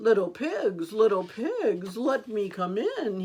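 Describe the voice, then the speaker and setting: A woman uses a put-on character voice with a fairly high pitch. She goes at a fairly slow pace. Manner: sweet, fake-nice.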